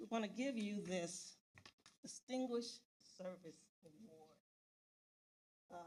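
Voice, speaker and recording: Somewhat breathy and fairly slow, a woman at medium pitch speaks with ordinary pitch variation and long, frequent pauses. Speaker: board president. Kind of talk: formal speech. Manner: halting.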